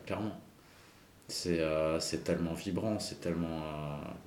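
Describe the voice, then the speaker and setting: At a fairly slow pace, a man speaks with a very deep, low pitch. Room echo is audible. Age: 40s. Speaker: graffiti artist. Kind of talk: casual interview.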